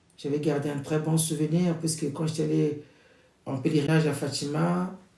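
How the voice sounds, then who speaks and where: A man's dark, mellow, fairly high-pitched voice at a moderate pace. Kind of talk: prayer introduction before a novena rosary. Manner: loud.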